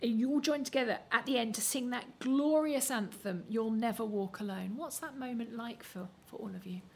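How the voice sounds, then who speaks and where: This woman has an ordinary speaking voice, fairly high in pitch with ordinary variation. She goes at a moderate pace with hardly any pauses, and her loudness swings widely. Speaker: theatre critic interviewer. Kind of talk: interview.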